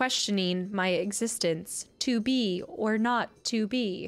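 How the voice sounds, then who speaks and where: A woman uses a robotic put-on character voice at a fairly high pitch and a fairly slow pace. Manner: emotionless, robotic.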